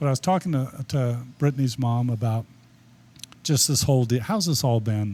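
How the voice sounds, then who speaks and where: A man speaks with ordinary pitch variation and a somewhat breathy voice. His loudness stays very even. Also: medium pitch for a man, moderate pace. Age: 70s. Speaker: sports photographer. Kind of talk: podcast interview.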